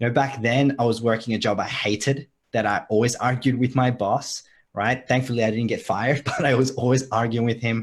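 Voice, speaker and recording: A man speaks in an energetic tone, somewhat breathy. He has a slight Australian accent. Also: medium pitch for a man, fairly quick pace. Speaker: online marketing coach. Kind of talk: live video call chat. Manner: casual, energetic.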